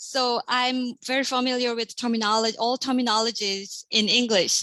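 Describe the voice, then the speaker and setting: A woman with a Korean accent speaks at a high pitch with a bright, sharp tone and monotone, flat intonation. Her loudness stays very even, and her pace is moderate. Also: dry, close sound with no echo. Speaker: assistant professor. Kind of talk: panel discussion.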